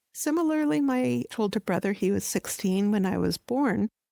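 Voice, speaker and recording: Recorded dry and close with no echo, a woman with a Canadian accent talks at a fairly quick pace. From Canada (Ontario, Montreal). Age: 60s. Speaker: housing researcher, professor. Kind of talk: interview.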